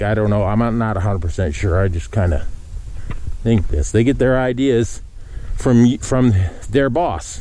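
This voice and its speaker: Noticeable background noise and audible room echo surround a man with a fairly low voice and lively intonation. He speaks at a moderate pace with long, frequent pauses. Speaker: cattle farmer. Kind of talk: casual walking vlog. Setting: outdoors walking in pasture. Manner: calm.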